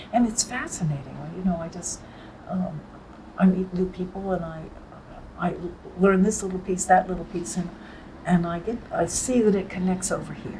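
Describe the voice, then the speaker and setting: A woman speaks at a moderate pace with fairly even intonation, taking long, frequent pauses. Her loudness swings widely, and room echo is audible. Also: medium pitch for a woman. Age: 80s+. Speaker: writer and translator. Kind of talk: interview. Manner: halting.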